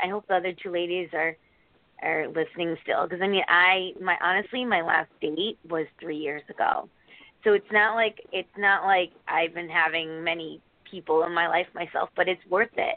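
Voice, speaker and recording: She has an unremarkable speaking voice, pitched in the medium range for a woman. Her pace is moderate, and her pitch varies in an ordinary way. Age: 40s. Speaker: caller.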